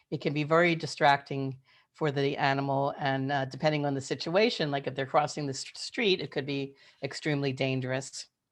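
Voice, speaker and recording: Against a quiet background, a woman with an American accent talks at a fairly quick pace in a very deep, low pitch, her intonation fairly even. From Philadelphia, US. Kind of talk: webinar presentation. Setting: video call.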